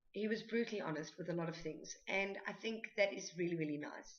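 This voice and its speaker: In a South African accent, a woman speaks at medium pitch. Her intonation is lively. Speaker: book vlogger. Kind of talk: book review. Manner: hesitant, many fillers.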